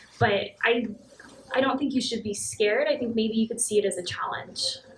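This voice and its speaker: Over noticeable background noise, a soft-spoken woman talks at a fairly high pitch. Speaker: engineering manager. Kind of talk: talk at a meetup; audience Q&A. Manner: fast.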